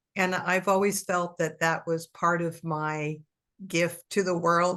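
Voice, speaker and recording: A woman speaks at a fairly slow pace with a fairly low pitch. Her intonation stays monotone and flat. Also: quiet background. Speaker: co-host of spiritual talk show. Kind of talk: casual chat.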